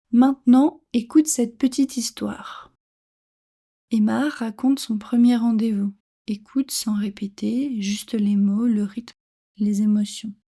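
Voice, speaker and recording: This woman talks at a very slow pace with long, frequent pauses, her fairly high voice dark and mellow, somewhat breathy, and fairly even in intonation. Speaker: French teacher. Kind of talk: reading aloud; tutorial. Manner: clear.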